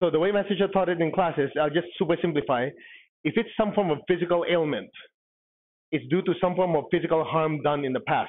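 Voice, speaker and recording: A man at a high pitch and a very fast pace, with ordinary pitch variation and very even loudness. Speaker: spiritual teacher. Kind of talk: lecture.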